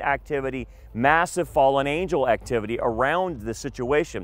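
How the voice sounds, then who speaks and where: A man talks at a moderate pace with ordinary pitch variation. The sound is dry with no echo. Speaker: tour guide pastor. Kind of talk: lecture. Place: waterside. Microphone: headset.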